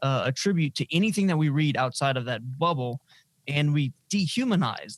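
Delivery is moderately paced. There's some breathiness, and the pitch varies in an ordinary way. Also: man. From Louisiana (Lafayette). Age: 20s. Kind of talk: interview.

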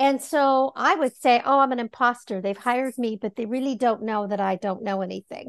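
At a high pitch, a woman speaks at a fairly quick pace with hardly any pauses and ordinary pitch variation. The sound is dry and close with no echo, over a quiet background. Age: 60s. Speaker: life coach. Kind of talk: interview.

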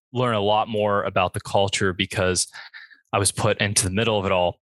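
With an American accent, a man with a plain, everyday voice and fairly low pitch talks fairly quickly in a dry, close sound with no echo. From Florida, Bradenton area. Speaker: college student. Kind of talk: panel discussion.

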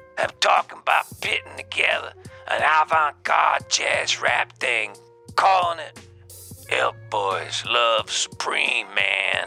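Faint music plays in the background as a man talks at a fairly slow pace. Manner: cocky, rambling hipster slang.

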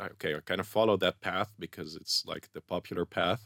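A Dutch accent on a very clean recording with a silent background, dry and close with no echo. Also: man. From Netherlands. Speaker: scientific researcher. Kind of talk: interview. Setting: studio.

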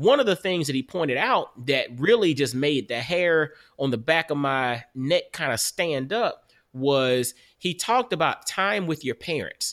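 A man speaks in an ordinary speaking voice, fairly high in pitch with lively intonation. His pace is fairly slow, and the recording is very clean with a silent background. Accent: American. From US South, Augusta, Georgia. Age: 40s. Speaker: podcast host and author. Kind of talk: casual interview chat.

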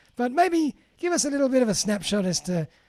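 A man with an Australian accent talks at a fairly quick pace in a dark, mellow tone. The sound is dry and close, with no echo. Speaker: podcast host. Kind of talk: interview. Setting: remote call.

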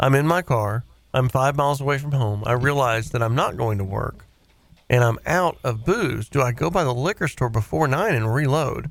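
A man talks with lively intonation in a Southern US accent. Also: medium pitch for a man, moderate pace. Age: 40s. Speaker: radio host. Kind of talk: call-in show banter. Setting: studio.

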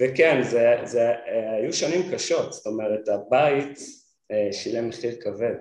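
Here a man talks at a fairly slow pace. His medium pitch shows ordinary variation. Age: 40s. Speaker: product designer and brand founder. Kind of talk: interview. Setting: studio.

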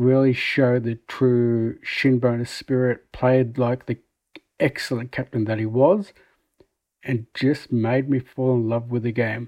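Speaking with an Australian accent, a man keeps a monotone, flat intonation. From Melbourne, Australia. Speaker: football fan. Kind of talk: recorded voice memo.

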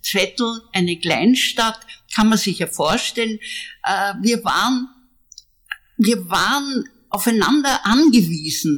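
Speaking very slowly with long, frequent pauses, a woman with a fairly high pitch sounds somewhat breathy and uses lively intonation. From Austria, Zwettl (Lower Austria). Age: 80s+. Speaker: artist. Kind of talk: interview. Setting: at home in Vienna.

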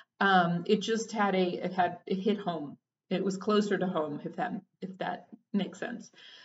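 With an American accent, a woman speaks at a moderate pace in a medium pitch, somewhat breathy, her intonation fairly even. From Texas. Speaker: therapist and podcast host. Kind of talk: personal reflective monologue. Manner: halting, with frequent fillers and restarts.

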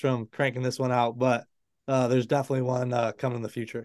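Using an American accent, a man at medium pitch speaks at a very fast pace. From Michigan. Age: 20s. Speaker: author and former college hockey goalie. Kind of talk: interview.

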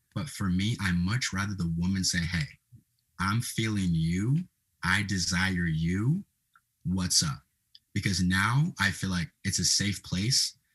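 A man speaks at a moderate pace in a fairly low pitch. His intonation is lively. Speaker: social media creator. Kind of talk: casual chat.

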